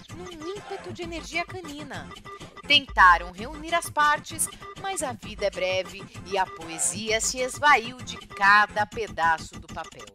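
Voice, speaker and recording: Music can be heard behind the voice. A woman talks at a fairly slow pace. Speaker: educator. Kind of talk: playful children's radio news read.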